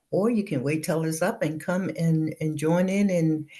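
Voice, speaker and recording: A woman's fairly low, somewhat breathy voice has a dark, mellow tone. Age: 70s. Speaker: business entrepreneur. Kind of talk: interview. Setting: studio.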